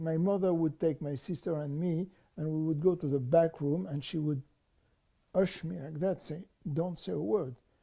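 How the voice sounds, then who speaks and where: A man's dark, mellow voice at fairly high pitch, with ordinary pitch variation and a moderate pace. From France. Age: 70s. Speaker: Holocaust survivor, museum volunteer. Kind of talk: interview answer.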